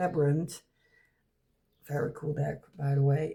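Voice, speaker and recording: A woman speaks in a very deep, low pitch. Her voice is somewhat breathy, with a dark, mellow tone. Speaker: tarot reviewer. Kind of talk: unboxing review. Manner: halting.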